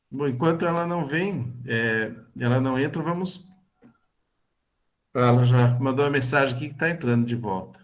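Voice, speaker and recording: A man at medium pitch and a moderate pace, with ordinary pitch variation, long, frequent pauses and audible room echo. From Brazil, São Paulo state (Bragança Paulista). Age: 60s. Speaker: lay religious formation leader. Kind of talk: online talk / testimony. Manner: halting, many fillers.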